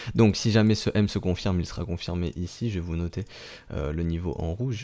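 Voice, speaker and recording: At a moderate pace, a man talks in a very deep, low pitch with a dark, mellow tone and ordinary pitch variation. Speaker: crypto market analyst. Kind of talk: technical analysis commentary. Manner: hesitant, many fillers.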